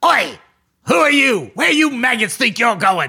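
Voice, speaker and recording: Moderate pace and fairly high pitch in a put-on character voice. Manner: gruff, hostile, menacing.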